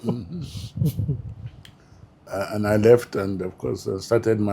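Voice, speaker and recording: A man speaks very slowly in a fairly low, somewhat breathy voice with a dark, mellow tone and a northern Nigerian accent. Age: 70s. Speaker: retired public administrator. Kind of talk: interview. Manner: hesitant, with fillers.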